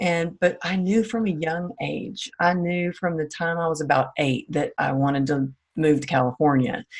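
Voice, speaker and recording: Speaking at a moderate pace with hardly any pauses, a woman has a slight Southern US accent. Her pitch is fairly low, with ordinary variation. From small-town Texas. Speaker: former dancer and fitness coach. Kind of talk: interview.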